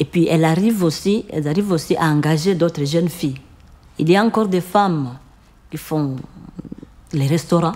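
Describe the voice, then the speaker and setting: With long, frequent pauses, a woman talks at a moderate pace in a fairly low pitch and ordinary pitch variation. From Congo (Ituri region). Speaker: microcredit association founder. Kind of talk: interview answer.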